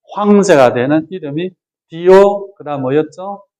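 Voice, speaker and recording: Pitched high for a man, this male voice has a dark, mellow tone and ordinary pitch variation. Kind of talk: lecture. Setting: retreat with audience.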